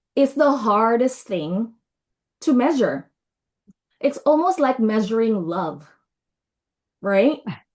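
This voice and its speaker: A woman's very slow, fairly high voice with a non-native accent, very wide pitch swings, and a quiet background. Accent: non-native, self-described as weird. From Indonesia. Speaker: brand and marketing consultant. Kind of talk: webinar presentation. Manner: casual, conversational.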